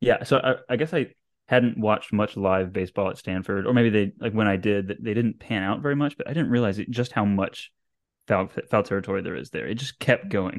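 Here a man speaks fairly quickly at a fairly low pitch. He has an ordinary speaking voice with ordinary pitch variation. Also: quiet background. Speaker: podcast co-host. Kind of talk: casual sports podcast chat.

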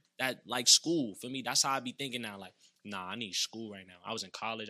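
A man with an American accent at a very fast pace, medium pitch, bright, sharp, energetic tone and big swings in loudness. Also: ordinary pitch variation. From Brooklyn, New York. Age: 20s. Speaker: comedian and social media influencer. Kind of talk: casual interview chat. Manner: fast talker, energetic.

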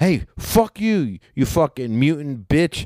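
Animated and fairly high-pitched, a man speaks with very wide pitch swings in a dry, close sound with no echo. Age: 40s. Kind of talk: casual chat.

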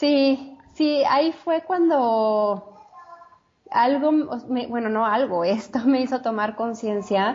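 Intonation is lively while the delivery stays very slow. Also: woman, high pitch for a woman. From Mexico City. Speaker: chef and health coach. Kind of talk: interview, personal testimony.

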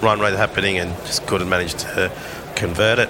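A man's voice with ordinary pitch variation against noticeable background noise. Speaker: cricket commentator. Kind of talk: live commentary.

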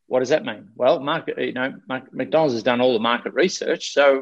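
A man speaks at a fairly quick pace with an Australian accent. The background is quiet. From Australia, Victoria coast. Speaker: life coach and speaker. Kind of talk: interview. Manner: animated.

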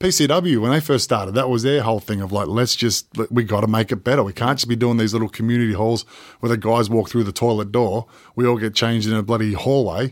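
A man with an Australian accent, medium pitch, ordinary pitch variation and a very fast pace. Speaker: professional wrestler. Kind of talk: casual interview.

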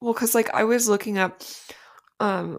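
A woman speaks in a plain, everyday voice. She keeps a moderate pace and fairly even intonation. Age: 30s. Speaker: podcast co-host, night shift worker. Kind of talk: casual chat.

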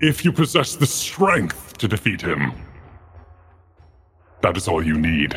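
A man puts on a character voice, fairly low in pitch, with very wide pitch swings. He moves at a fairly slow pace with long, frequent pauses. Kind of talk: ancient undead oracle. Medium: actual play. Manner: solemn, archaic.

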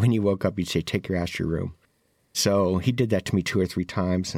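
Speaking very fast in a very deep, low voice with ordinary pitch variation, a man comes through on a very clean recording with a silent background. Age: 60s. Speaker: formerly incarcerated justice advocate. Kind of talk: interview testimony.

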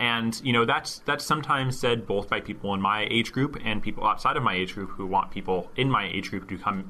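A man with a normal speaking voice at a medium pitch, talking at a fairly quick pace with hardly any pauses. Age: 20s. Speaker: government tech worker. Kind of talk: interview.

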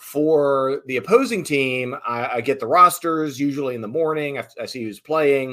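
A man with an American accent speaks in an ordinary speaking voice at a fairly high pitch with ordinary pitch variation. His moderate pace has hardly any pauses, and his loudness swings widely. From rural Southern Virginia. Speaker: arena PA announcer. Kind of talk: interview.

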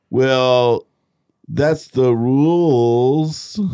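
A man's whiny put-on character voice in a whiny tone, medium in pitch, with ordinary pitch variation

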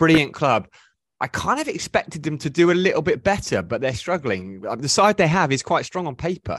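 Against a quiet background, a man talks fairly quickly in a fairly high voice with very wide pitch swings. Vocal fry colors his speech, and the sound is dry and close, with no echo. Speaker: podcast host. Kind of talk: casual chat. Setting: video call.

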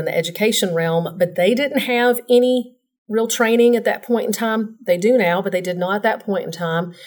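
A woman speaks with a Southern US accent at a fairly quick pace. Her pitch varies in an ordinary way. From Tennessee, Nashville. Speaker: insurance professional. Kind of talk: casual interview.

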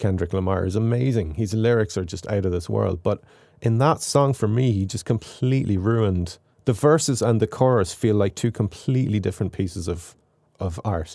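Speaking at a fairly quick pace with a slight Irish accent, a man uses a fairly low pitch, a dark, mellow tone and ordinary pitch variation on a very clean recording with a silent background. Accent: mild Irish. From Ireland. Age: 40s. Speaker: composer and YouTuber. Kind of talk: casual interview.

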